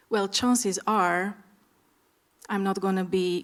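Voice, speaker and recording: With an Eastern European accent, a woman speaks at a fairly slow pace and a medium pitch. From Romania. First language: Romanian. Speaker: startup founder, panelist. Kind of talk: panel discussion.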